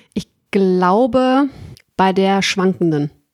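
The voice belongs to a woman with a medium pitch. Her pitch varies in an ordinary way. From Ruhr area, Germany. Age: 30s. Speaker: customer service worker, dating podcast guest. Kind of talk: casual chat.

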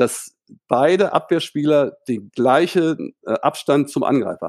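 This man has a plain, everyday voice, fairly high in pitch with lively intonation, recorded with a dry, close sound and no echo. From northern Germany, Hildesheim. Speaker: volleyball coach. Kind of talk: casual interview. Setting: remote call from home.

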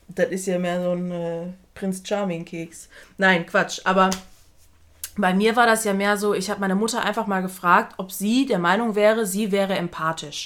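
A woman speaks at a moderate pace in a normal speaking voice, medium in pitch, with fairly even intonation. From outside Germany. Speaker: podcast co-host. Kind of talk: casual chat. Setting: same room, no window.

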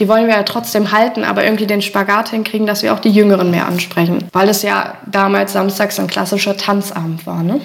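A woman talking at a fairly quick pace with hardly any pauses, over noticeable background noise. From Holtensen, Germany. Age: 30s. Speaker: village club chairwoman. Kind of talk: casual interview.

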